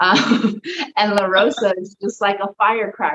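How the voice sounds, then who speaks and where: A woman speaks with an American accent. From Texas, Dallas. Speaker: professional wrestler. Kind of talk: interview. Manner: casual, filler-heavy.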